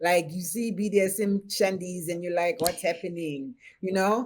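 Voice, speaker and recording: A woman with a Haitian accent at a moderate pace. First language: Haitian Creole. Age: 50s. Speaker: BDSM practitioner and chef. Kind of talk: podcast interview.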